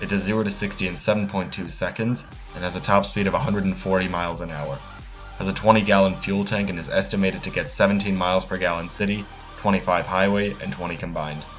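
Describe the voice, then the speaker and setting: Music plays in the background. Over it, a man speaks with fairly even intonation. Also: fairly low pitch for a man, moderate pace. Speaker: car reviewer. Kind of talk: car review narration. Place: street.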